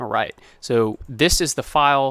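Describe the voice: A man speaks with a fairly bright tone and ordinary pitch variation.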